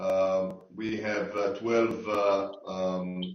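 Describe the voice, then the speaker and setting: A man's fairly low voice in an Israeli accent. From Israel, Tel Aviv. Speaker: sports tech investor. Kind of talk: online panel discussion. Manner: halting, many fillers.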